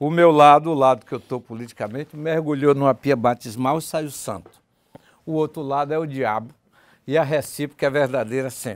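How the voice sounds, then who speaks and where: A man's fairly high voice in a Bahian accent, at a moderate pace. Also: fairly even intonation. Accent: Bahian Brazilian Portuguese. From Bahia, Brazil (Valença); Bahia, Brazil. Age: 60s. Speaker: political journalist. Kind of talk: TV debate. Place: studio. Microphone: lapel.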